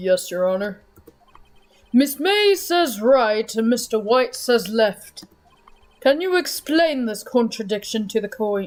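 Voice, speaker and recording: Putting on a character voice at an extremely high pitch, a man talks at a fairly slow pace with long, frequent pauses. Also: lively intonation. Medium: game stream. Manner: formal, gavel-banging.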